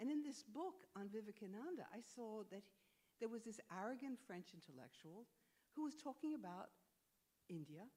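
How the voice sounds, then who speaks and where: Speaking at a moderate pace with an American accent, a woman uses a fairly high, somewhat breathy voice that is dark and mellow in tone, with very wide pitch swings and long, frequent pauses. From United States. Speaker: historian and author. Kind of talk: onstage interview.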